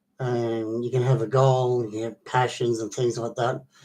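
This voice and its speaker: At a moderate pace, the voice comes through somewhat breathy, with a dark, mellow tone. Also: man. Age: 60s. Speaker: vlogger. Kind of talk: casual monologue. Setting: online video. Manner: halting.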